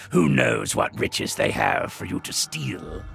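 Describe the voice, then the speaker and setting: A man performs a cartoonish character voice at a moderate pace. Clear background noise runs underneath. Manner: gruff, curt.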